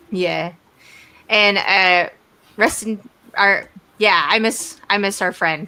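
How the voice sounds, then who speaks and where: In a Texas accent, a woman speaks at a very slow pace with long, frequent pauses. Her pitch is medium and her tone bright and sharp, with fairly even intonation. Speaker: interview host. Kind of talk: casual interview.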